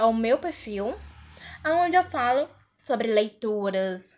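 The quiet background leaves a woman's fairly high-pitched voice clear. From Fortaleza, Ceará, Brazil. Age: 20s. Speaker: podcast host. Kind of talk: casual solo podcast introduction.

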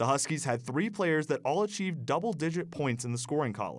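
On a very clean recording with a silent background, a man with an unremarkable speaking voice and fairly high pitch talks at a moderate pace with lively intonation. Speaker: college radio sports reporter. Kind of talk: newsreading, scripted sports report. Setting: radio studio. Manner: brisk, upbeat and formal.

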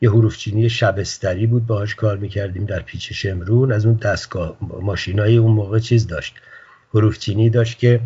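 A man's fairly low, somewhat breathy voice at a fairly quick pace, monotone and flat in intonation. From Iran, Tehran. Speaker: writer. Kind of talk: interview.

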